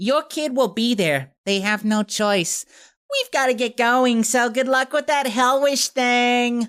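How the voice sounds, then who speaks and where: In a put-on character voice, the speaker talks at a fairly slow pace on a very clean recording with a silent background. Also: man, extremely high pitch for a man. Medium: read story. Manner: flustered.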